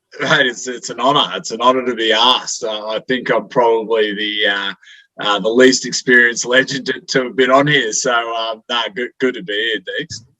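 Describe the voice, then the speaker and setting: In an Australian accent, a man talks at a moderate pace with fairly even intonation and a bright, sharp tone. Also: medium pitch for a man. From Queensland, Brisbane. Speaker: amateur football coach. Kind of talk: casual podcast interview. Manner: halting, many fillers.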